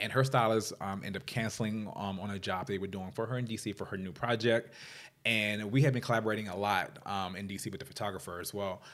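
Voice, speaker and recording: Speaking at a very fast pace, a man with an American accent uses a fairly low pitch and fairly even intonation. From Washington DC area, US. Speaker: fashion stylist. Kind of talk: interview.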